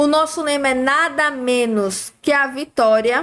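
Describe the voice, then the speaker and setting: Her pitch varies in an ordinary way as the woman talks fairly slowly. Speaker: exam-prep teacher. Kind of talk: live-streamed review class. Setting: livestream.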